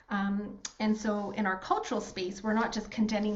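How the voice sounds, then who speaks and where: A woman with a Canadian accent talks at a fairly high pitch and moderate pace, somewhat breathy. Room echo is audible. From rural Alberta, Canada. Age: 40s. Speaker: workshop host, financial firm co-founder. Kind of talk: online workshop facilitation.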